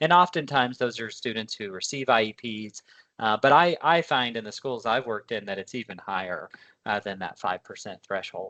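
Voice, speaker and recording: Against a quiet background, a man with a medium-pitched voice talks at a fairly quick pace, his intonation lively and his loudness swinging widely. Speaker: education consultant. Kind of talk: webinar presentation. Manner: fast.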